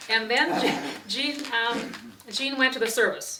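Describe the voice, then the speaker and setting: A woman with an Upper Midwest accent speaks in a bright, sharp tone with ordinary pitch variation. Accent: Upper Midwest (Wisconsin). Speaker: interviewee recalling family history. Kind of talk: oral history interview. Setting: at home.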